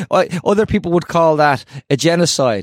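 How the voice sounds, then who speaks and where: A man with a Dublin accent at a moderate pace, in a dry, close sound with no echo. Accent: Irish (Dublin). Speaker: podcast host. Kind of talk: casual chat. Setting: video call. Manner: halting, many repetitions.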